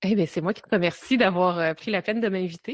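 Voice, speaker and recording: A woman with a Quebec accent speaks at a medium pitch in a very clean recording with a silent background and a dry, close sound with no echo. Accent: Québécois. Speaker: time-management coach and entrepreneur. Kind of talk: podcast interview.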